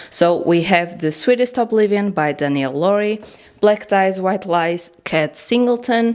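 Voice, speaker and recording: Over noticeable background noise, a woman with a non-native accent speaks at medium pitch with lively intonation. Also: fairly slow pace. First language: not English. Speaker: bookish journaling vlogger. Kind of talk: casual vlog talk to camera. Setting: home studio. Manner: informal, hesitant.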